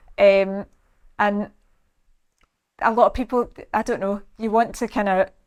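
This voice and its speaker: A flat, monotone delivery with a Scottish accent, at a fairly slow pace, broken by long, frequent pauses. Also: woman, fairly high pitch for a woman. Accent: Scottish, slows it down on camera. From Scotland. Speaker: salon owner and personal trainer. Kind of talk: casual interview chat.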